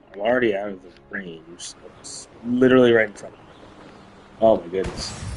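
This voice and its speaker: There is noticeable background noise, and the loudness swings widely. A man with a fairly low pitch speaks with long, frequent pauses. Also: ordinary pitch variation, fairly quick pace. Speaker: gaming streamer. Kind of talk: live gameplay stream chat.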